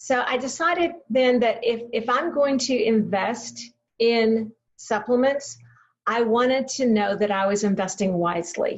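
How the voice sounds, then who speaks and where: A woman with a fairly high pitch talks at a fairly slow pace, her loudness very even and her pitch varying in an ordinary way. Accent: Texan. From Texas, Waco. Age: 70s. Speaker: health product presenter. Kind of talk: product training talk. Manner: hesitant fillers, repeated words.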